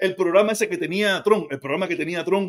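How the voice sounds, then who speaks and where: In a Cuban accent, a man speaks at a very fast pace and a high pitch against a quiet background. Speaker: commentator. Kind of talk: angry political rant. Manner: ranting, sarcastic; loud, heated, mocking. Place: kitchen. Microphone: phone near.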